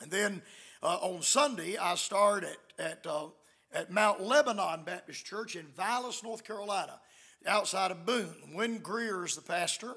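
A man's raised, projected voice, bright and sharp in tone, swings widely in loudness at a moderate pace with ordinary pitch variation against a quiet background. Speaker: visiting preacher. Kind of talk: sermon announcements. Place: church. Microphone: podium.

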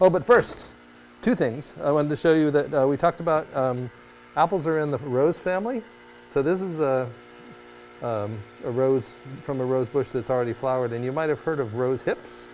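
A man at a moderate pace with ordinary pitch variation, long, frequent pauses and light background noise. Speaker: teacher on TV show. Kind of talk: tutorial. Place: studio.

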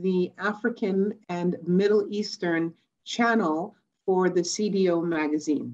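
This woman speaks at a very slow pace. Her pitch varies in an ordinary way. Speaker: remote conference speaker. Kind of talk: conference talk. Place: home room. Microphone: webcam.

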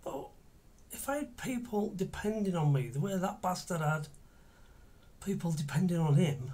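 A man talks at a moderate pace in a high pitch. His intonation is lively. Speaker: actor in monologue. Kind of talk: dramatic monologue. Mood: angry, bitter. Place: home room.

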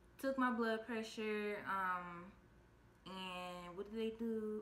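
There is audible room echo around a woman as she speaks. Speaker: vlogger telling her birth story. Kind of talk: casual vlog chat. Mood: calm storytelling. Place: home room. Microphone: phone near.

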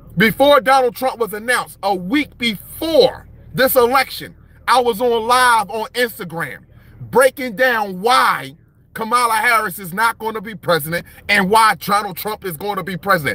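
With a raised, projected voice and a bright, sharp tone, a man speaks with ordinary pitch variation and big swings in loudness, in a dry sound with no echo. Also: moderate pace. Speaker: livestream commentator. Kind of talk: animated political commentary. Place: car. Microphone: phone near.

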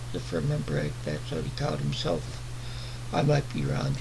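A man's voice over noticeable background noise. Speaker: book vlogger. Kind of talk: casual book review chat. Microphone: webcam.

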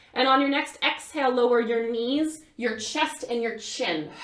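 Speaking at a fairly slow pace, a woman with a high pitch is heard against a quiet background with audible room echo. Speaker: yoga instructor. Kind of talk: guided vinyasa yoga class, cueing breath-linked poses step by step. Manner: calm, rhythmic instructional cueing timed to inhales and exhales; casual and gentle, with frequent fillers like um, right, you know. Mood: calm, soothing. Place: home room. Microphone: camera far.

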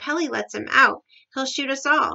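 Putting on a character voice, a woman speaks loudly at a high pitch and a moderate pace, her tone bright and sharp with vocal fry and ordinary pitch variation.

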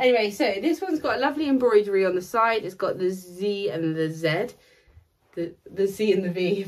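A woman's fairly quick speech with lively intonation. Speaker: luxury resale video host. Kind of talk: casual haul vlog chat. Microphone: phone near.

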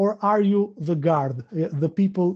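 In an Albanian accent, a man speaks with a high pitch, a dark, mellow tone and ordinary pitch variation. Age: 30s. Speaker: interviewer. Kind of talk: interview. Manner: halting, repeating words.

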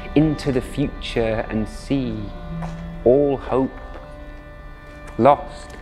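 A man speaks at a very slow pace in a passionate, dramatic tone, with long, frequent pauses and music in the background. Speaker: storyteller. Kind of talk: spoken-word story performance.

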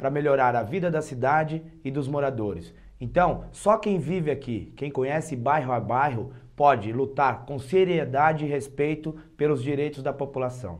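A man's fairly high voice at a moderate pace, with ordinary pitch variation, over a quiet background. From Praia Grande, São Paulo coast, Brazil; São Paulo, Brazil. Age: 30s. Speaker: local political candidate; candidate. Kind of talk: campaign speech. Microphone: lapel.

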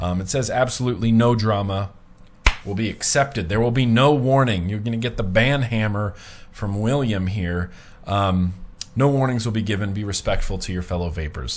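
With an American accent, a man talks at a moderate pace, his pitch varying in an ordinary way. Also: fairly low pitch for a man. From US. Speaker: vlogger. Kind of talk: casual vlog monologue. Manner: casual, chatty. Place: home room. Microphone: webcam.

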